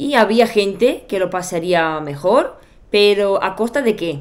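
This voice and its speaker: A woman with a Bulgarian accent speaks with ordinary pitch variation. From Bulgaria, Sofia. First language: Bulgarian (speaking Spanish). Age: 30s. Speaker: YouTuber. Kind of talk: personal storytelling vlog. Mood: reflective, personal storytelling. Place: home room.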